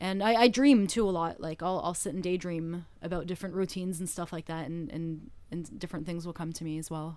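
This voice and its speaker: A woman with a Canadian accent and an ordinary speaking voice talks at a fairly quick pace with hardly any pauses, a fairly low pitch and ordinary pitch variation. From Canada. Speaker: stage hypnotist. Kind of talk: interview conversation.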